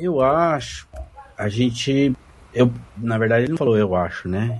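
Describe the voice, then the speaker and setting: Pitched at a medium level, a man with an ordinary speaking voice talks at a fairly slow pace with lively intonation. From Londrina, Paraná, Brazil. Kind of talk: casual group chat.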